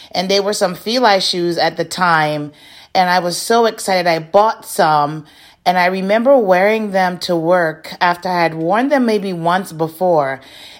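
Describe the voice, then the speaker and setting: A woman talks fairly slowly at a medium pitch, with an unremarkable speaking voice. Her pitch moves up and down an ordinary amount. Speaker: podcast host. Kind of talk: reflective monologue.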